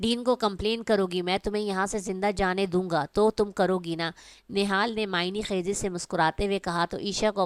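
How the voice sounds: Intonation remains fairly even. The delivery is a natural reading voice.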